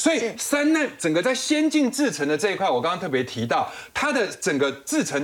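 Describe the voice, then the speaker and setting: Noticeable background noise surrounds a man whose pitch swings very widely. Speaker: financial analyst. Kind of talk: TV panel discussion.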